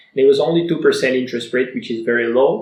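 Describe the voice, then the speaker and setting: A man speaks at a very fast pace. His voice sits fairly high. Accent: Bulgarian. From Bulgaria. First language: Bulgarian. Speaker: online entrepreneur. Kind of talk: personal story vlog.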